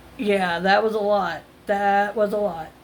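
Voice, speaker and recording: This woman speaks with a fairly high pitch. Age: 50s. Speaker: retail self-checkout worker. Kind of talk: casual talk to camera.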